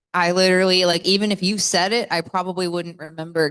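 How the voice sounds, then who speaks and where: Speaking at a fairly quick pace with monotone, flat intonation, a woman with an American accent is heard against a quiet background. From US South. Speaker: metal singer. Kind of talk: interview.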